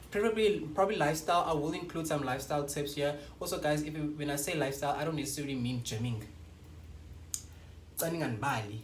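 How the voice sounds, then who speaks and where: A man's fairly high, animated voice at a very fast pace, broken by long, frequent pauses, with ordinary pitch variation and audible room echo. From South Africa, Western Cape (Paarl). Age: 20s. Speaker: YouTuber. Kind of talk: casual vlog chat.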